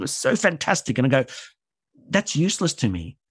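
Recorded very cleanly against a silent background, with a dry, close sound and no echo, a man with an Australian accent speaks in a fairly high pitch with very wide pitch swings. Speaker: theatre director and writer. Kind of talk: interview conversation.

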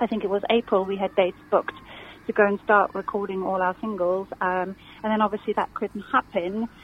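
Noticeable background noise sits behind a woman talking at a fairly quick pace. Her fairly high voice carries a slight South African accent. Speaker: musician. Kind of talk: radio interview. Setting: phone call.

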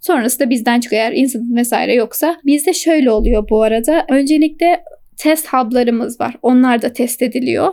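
A dark, mellow tone with hardly any pauses. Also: woman, high pitch for a woman, ordinary pitch variation, moderate pace, very even loudness. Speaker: frontend software engineer. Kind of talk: casual interview.

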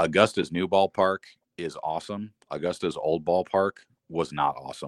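Dry and close with no echo, a man's very deep, low voice moves at a moderate pace with fairly even intonation. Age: 30s. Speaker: minor league baseball play-by-play announcer. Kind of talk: interview.

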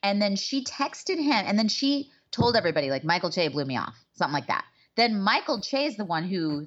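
Speaking at a fairly quick pace, a woman with a medium-pitched voice makes very wide pitch swings. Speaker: podcast co-host. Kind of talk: casual chat.

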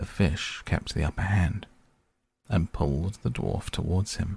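A man speaks with a very deep, low pitch and vocal fry. The recording is very clean, with a silent background. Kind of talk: fairy-tale narration, bedtime story reading aloud.

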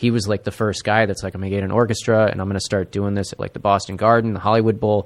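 A man with an American accent talks at a very fast pace, with hardly any pauses. His fairly low voice stays in a monotone, flat intonation. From Buffalo, New York, then US Midwest. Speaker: comedy network tech worker. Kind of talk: casual chat. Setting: studio.

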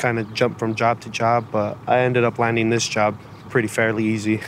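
Delivered at a moderate pace, a man's ordinary speaking voice sits at a medium pitch. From California. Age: 20s. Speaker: oil pump builder. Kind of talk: interview.

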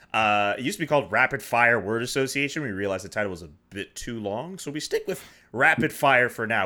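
Recorded very cleanly against a silent background, a man speaks in a bright, sharp tone with a Montreal accent. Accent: Montreal Canadian English. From Canada, Montreal. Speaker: podcast host. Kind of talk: casual chat. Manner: animated.

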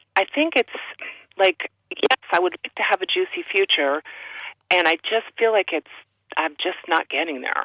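A woman talks at a fairly slow pace in a medium pitch. Her speech has long, frequent pauses. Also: ordinary pitch variation. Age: 60s. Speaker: caller, former student. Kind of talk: call-in conversation.

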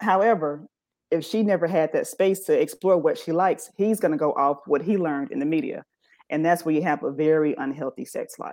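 Fairly low in pitch and dark and mellow in tone, a woman moves at a fairly quick pace with ordinary pitch variation. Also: quiet background. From US South, Birmingham, Alabama. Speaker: sex therapist. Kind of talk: interview on a live talk show.

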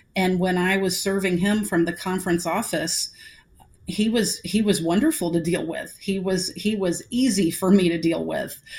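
Speaking with an American accent, a woman uses a medium pitch and a somewhat breathy voice, at a moderate pace and with fairly even intonation. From US South, Atlanta. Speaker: women's basketball association executive. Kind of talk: interview. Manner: halting, many repetitions.

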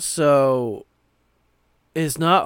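This is a male speaker. Normal rises and falls mark his pitch. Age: 30s. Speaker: podcast host. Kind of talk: casual chat.

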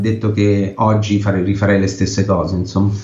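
Amid noticeable background noise and audible room echo, a man speaks at a moderate pace and a fairly low pitch in a monotone, flat intonation. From Italy. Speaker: photojournalist. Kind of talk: interview. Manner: halting.

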